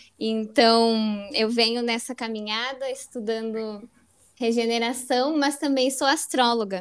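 Recorded very cleanly over a silent background, a normal speaking voice moves at a fairly slow pace with fairly even intonation. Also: woman, fairly high pitch for a woman. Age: 20s. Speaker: podcast co-host, astrologer, environmental engineer. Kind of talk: casual chat.

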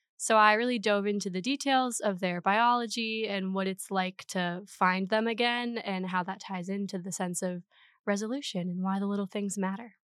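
In an ordinary speaking voice, a woman with an American accent talks at a moderate pace and medium pitch, her intonation fairly even, on a very clean recording with a silent background. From Minnesota, small town. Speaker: undergraduate student, essay award winner. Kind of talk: casual interview.

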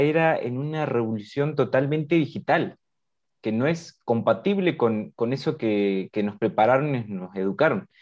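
A man has a plain, everyday voice, fairly high in pitch with lively intonation. He speaks at a moderate pace against a quiet background. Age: 20s. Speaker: podcast host. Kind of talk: casual interview.

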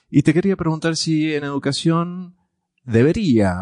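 The background is quiet as a man talks at a fairly slow pace. His pitch swings very widely. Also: dry, close sound with no echo. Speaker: podcast host. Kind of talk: interview. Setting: university.

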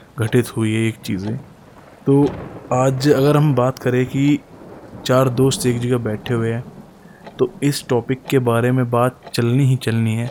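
Amid noticeable background noise, a man of medium pitch speaks with fairly even intonation and long, frequent pauses. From Haryana, Gurgaon district (Sohna). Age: 20s. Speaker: podcaster. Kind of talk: storytelling.

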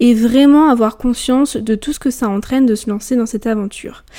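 A woman's high-pitched voice with a dark, mellow tone, ordinary pitch variation and a moderate pace. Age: 20s. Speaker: podcast host, student. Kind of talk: scripted podcast introduction. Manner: formal.

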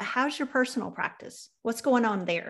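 With a Southern US accent and some vocal fry, a woman speaks at a moderate pace with ordinary pitch variation. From US South. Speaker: podcast host. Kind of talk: interview conversation.

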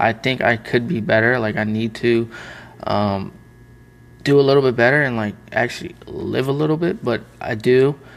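Delivered by a man at medium pitch, an unremarkable speaking voice carries ordinary pitch variation at a moderate pace. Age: 20s. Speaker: print shop owner and YouTuber. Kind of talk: casual chat. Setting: in his print shop's production room.

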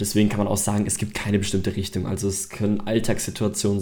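Fairly low-pitched male voice at a fairly quick pace, with audible room echo. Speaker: podcast host. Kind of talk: solo podcast monologue. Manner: unscripted, with many fillers.

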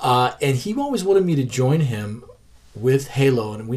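A man's medium-pitched, somewhat breathy voice with lively intonation. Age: 40s. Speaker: podcast host and comic creator. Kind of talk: casual interview chat. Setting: in the guest's collection room.

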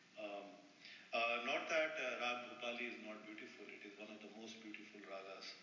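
Amid noticeable background noise and audible room echo, a man at medium pitch speaks at a moderate pace with fairly even intonation and big swings in loudness. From northern India. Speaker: flute player. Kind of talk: interview. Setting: in person recording.

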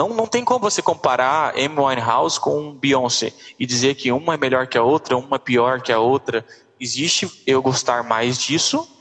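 A plain, everyday voice at a moderate pace with very even loudness. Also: man. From interior of Goiás, Brazil. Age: 20s. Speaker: dentist and singer. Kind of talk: casual interview.

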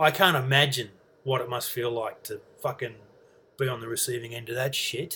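With an Australian accent, a man talks at a fairly quick pace in a bright, sharp tone, with fairly even intonation and long, frequent pauses. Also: medium pitch for a man. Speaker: podcaster. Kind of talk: solo casual monologue.

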